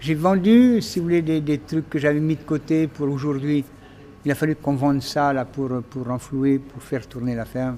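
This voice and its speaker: Noticeable background noise behind a man's speech with ordinary pitch variation. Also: fairly high pitch for a man, moderate pace. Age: 80s+. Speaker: farmer. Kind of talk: documentary interview answer.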